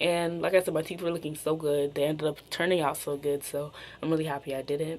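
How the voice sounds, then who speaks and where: A woman speaks at a very deep, low pitch. She talks at a fairly quick pace in a monotone, flat intonation. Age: 20s. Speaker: beauty and lifestyle vlogger. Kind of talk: casual vlog monologue. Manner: casual, filler-heavy with frequent 'like'.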